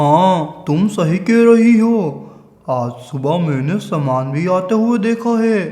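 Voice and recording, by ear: Using a put-on character voice, a man speaks at a high pitch and a fairly slow pace.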